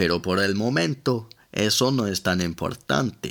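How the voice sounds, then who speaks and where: In a very clean recording with a silent background, a man with an English accent speaks at a fairly slow pace in a very deep, low pitch. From London, England. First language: English (speaking Spanish). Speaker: language teacher podcaster. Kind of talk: language lesson.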